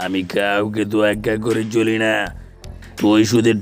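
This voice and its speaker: Clear music plays behind a man doing a cartoonish character voice at a medium pitch. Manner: gruff, bossy.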